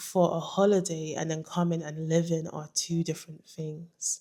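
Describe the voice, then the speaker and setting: A fairly low-voiced woman with a London accent, at a fairly slow pace. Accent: British (London). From London, England. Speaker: vlogger. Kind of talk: casual vlog monologue.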